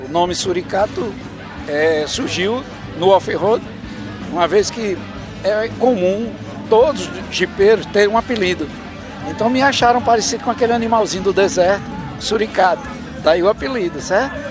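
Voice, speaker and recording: A man's voice sits high in pitch and moves at a moderate pace. He leaves long, frequent pauses while clear music plays in the background. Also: ordinary pitch variation, dry sound with no echo. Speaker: interviewee. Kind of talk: interview answer. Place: open country. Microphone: handheld.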